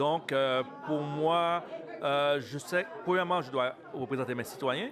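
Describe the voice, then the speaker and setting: Music plays in the background as a man speaks very slowly at a fairly high pitch, with ordinary pitch variation. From Montreal, Quebec. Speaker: city councillor. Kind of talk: interview. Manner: halting.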